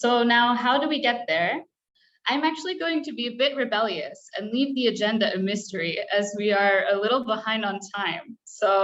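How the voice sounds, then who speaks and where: With an American accent, a woman speaks in a high voice at a moderate pace, her intonation lively. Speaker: webinar moderator. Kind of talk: online meeting moderation. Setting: video call.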